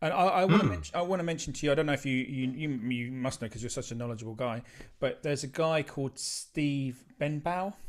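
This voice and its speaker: With an Essex accent, a man speaks very fast in a fairly high voice with ordinary pitch variation. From southeast England. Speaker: music channel host. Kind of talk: casual chat. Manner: halting. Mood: warm, reminiscing. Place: home room. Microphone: video call.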